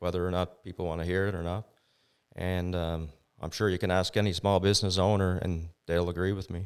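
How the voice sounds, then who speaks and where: Talking at a fairly quick pace in a Maritime Canadian accent, a man with a very deep, low voice keeps a monotone, flat intonation in a very clean recording with a silent background. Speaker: business owner. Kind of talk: interview.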